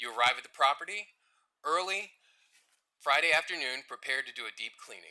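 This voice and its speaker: Lively intonation marks this man's speech. His tone is bright and sharp, and he moves at a fairly quick pace. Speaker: customer service supervisor. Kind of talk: formal presentation to council.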